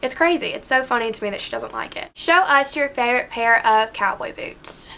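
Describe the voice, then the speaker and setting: The pace is fairly quick, with ordinary pitch variation and an American accent. The tone sounds bright and sharp. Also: woman, high pitch for a woman. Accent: Southern accent, toned down in these videos. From US South. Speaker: beauty vlogger. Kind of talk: casual chat. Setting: alone at home filming.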